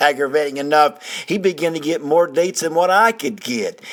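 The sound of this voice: Lively intonation marks this man's fairly high pitch and fairly bright tone.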